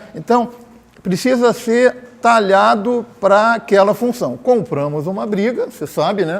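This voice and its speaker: A man talks at a fairly slow pace with a high pitch. His pitch variation is ordinary, and noticeable background noise runs underneath. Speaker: former education official. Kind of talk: panel debate. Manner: halting.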